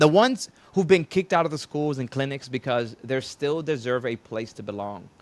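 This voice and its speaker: At a moderate pace, a man with a fairly high pitch and an unremarkable speaking voice uses lively intonation and big swings in loudness. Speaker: podcast host. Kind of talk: podcast interview host.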